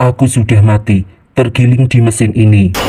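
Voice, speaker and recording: Using a put-on character voice, a man speaks at a moderate pace and medium pitch, sounding hoarse and raspy. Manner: eerie, ghostly.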